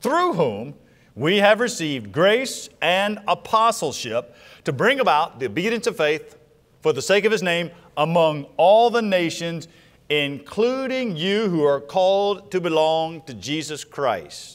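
The pace is fairly slow as a man talks. Nothing stirs in the background. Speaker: preacher. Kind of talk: sermon scripture reading. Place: church. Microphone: lapel.

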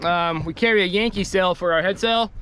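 A man's high voice with fairly even intonation, moderate pace, dry sound with no echo, and light background noise. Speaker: sailing vlogger. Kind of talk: casual vlog chat. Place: boat. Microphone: phone near.

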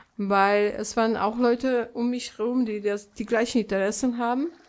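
Speaking at a moderate pace, a woman with a fairly high pitch uses a normal speaking voice and fairly even intonation. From Poland. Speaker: painter. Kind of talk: interview answer.

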